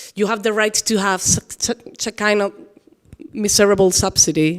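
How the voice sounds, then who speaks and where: A woman with a Spanish accent at a moderate pace, on a very clean recording with a silent background. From Spain. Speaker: author and dancer. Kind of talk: public interview on stage. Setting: event hall with audience. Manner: halting.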